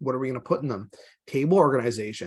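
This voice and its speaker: A man speaks at a very fast pace. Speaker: GIS webinar presenter. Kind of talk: webinar tutorial.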